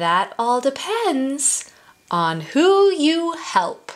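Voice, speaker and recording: A woman puts on a character voice, pitched high and swinging very widely in pitch, at a very slow pace. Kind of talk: children's story reading. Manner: calm, clever.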